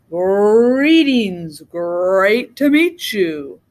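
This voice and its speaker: Putting on a character voice, a woman rumbles and growls at medium pitch, her pitch swinging very widely. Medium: read story. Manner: grumbling, growly.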